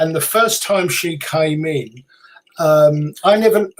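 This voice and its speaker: The speaker talks at a fairly slow pace with a British accent. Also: man. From UK. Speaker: psychic medium, author, radio host. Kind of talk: interview answer.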